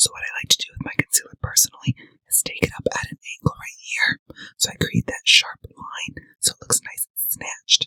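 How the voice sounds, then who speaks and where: Whispering at a fairly quick pace, a man's voice swings widely in loudness, with a dry, close sound and no echo. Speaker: makeup artist. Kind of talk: makeup tutorial to camera. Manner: playful, sassy.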